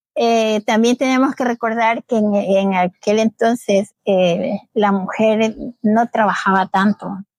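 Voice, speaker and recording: Very slowly and with hardly any pauses, a woman speaks at a fairly high pitch with fairly even intonation and very even loudness, the sound dry and close with no echo. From Ecuador, Babahoyo. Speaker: community association leader, migrant. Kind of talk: interview, personal story.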